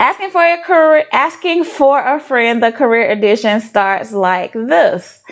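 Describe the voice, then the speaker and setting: Against noticeable background noise, a woman speaks at a fairly slow pace with hardly any pauses, her high voice making very wide pitch swings at very even loudness. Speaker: life and career coach. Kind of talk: casual livestream Q&A. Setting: livestream. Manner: unscripted, conversational with fillers.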